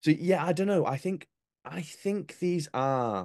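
In a Yorkshire accent, a dark, mellow tone comes through a dry, close sound with no echo against a quiet background. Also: man. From North Yorkshire, England. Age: 20s. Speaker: comedian and former reporter. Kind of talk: casual chat.

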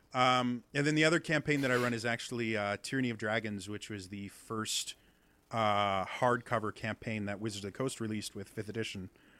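Speaking at a fairly quick pace in a Midwestern American accent, a man with a bright, sharp tone and ordinary pitch variation comes through on a very clean recording with a silent background. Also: medium pitch for a man. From US Midwest. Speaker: accent coach and streamer. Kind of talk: casual interview.

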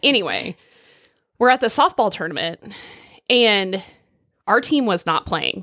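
A woman in a rural Oklahoma accent, bright and sharp in tone, with lively intonation at a fairly slow pace and long, frequent pauses, on a very clean recording with a silent background and a dry, close sound with no echo. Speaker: podcast co-host. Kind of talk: casual chat. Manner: casual, frank.

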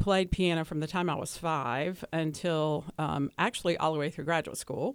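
A woman with a Southern US accent speaks at a fairly low pitch. Her pitch varies in an ordinary way, and the recording is very clean with a silent background. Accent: Southern, trying to lose it. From US South, Hickory, North Carolina. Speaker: guest on interview show. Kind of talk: interview. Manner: hesitant fillers.

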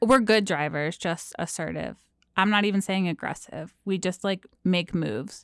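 On a very clean recording with a silent background, a woman with an American accent speaks at a moderate pace and medium pitch, with vocal fry and ordinary pitch variation. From New Jersey. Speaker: fill-in co-host. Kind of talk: casual chat. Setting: studio.

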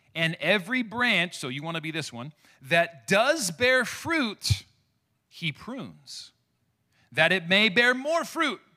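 Raised and projected, a man's high, bright, sharp voice swings very widely in pitch at a very slow pace on a very clean recording with a silent background. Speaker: pastor. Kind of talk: sermon.

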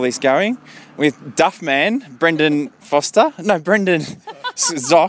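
Here a man speaks at a fairly high pitch with ordinary pitch variation. There is noticeable background noise. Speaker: podcast reporter at a local event. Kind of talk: on-location report and interviews. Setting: outdoors at event.

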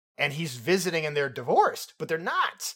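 A man's fairly high voice with a bright, sharp tone, on a very clean recording with a silent background. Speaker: film podcast host. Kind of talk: casual chat. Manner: joking.

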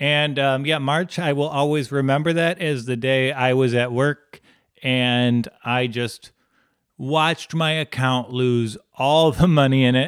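A man speaks in a normal speaking voice, medium in pitch, with fairly even intonation. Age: 30s. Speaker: podcast co-host. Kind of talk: casual chat. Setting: video call.

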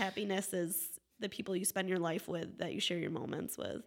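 This voice has vocal fry and ordinary pitch variation, with an American accent. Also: woman. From Wellsville area, US. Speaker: photographer. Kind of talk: casual chat.

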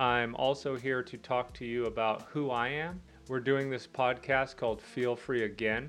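With music playing in the background, a man talks at a moderate pace in a medium-pitched voice. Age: 40s. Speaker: grief recovery podcast host. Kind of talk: solo podcast monologue. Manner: casual.

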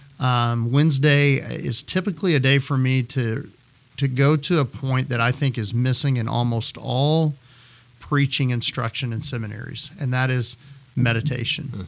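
A man speaks at a moderate pace in a plain, everyday voice with an American accent, medium pitch and ordinary pitch variation. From West Texas (Midland). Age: 40s. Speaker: pastor. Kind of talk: casual chat.

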